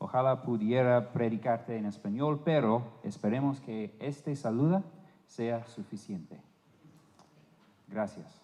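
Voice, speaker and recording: With an English accent, a man speaks at a very slow pace in a dark, mellow tone, his medium pitch showing ordinary variation. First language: English (speaking Spanish). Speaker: visiting preacher. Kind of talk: sermon. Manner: halting.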